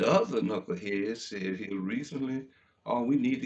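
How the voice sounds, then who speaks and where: Speaking in a Memphis accent at a moderate pace, a man uses a medium pitch with very wide pitch swings. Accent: Southern US (Memphis) English. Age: 70s. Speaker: talk radio host. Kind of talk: talk radio monologue. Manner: impassioned.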